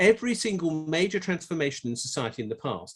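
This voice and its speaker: A man with an English accent, lively intonation and a fairly quick pace, against a quiet background. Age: 60s. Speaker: tax economist. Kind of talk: conference talk. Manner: halting.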